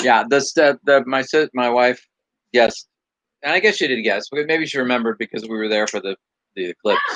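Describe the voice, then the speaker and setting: A man with an American accent at medium pitch, fairly quick, with ordinary pitch variation and a dry, close sound with no echo. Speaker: livestream co-host. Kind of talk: casual chat. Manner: fast.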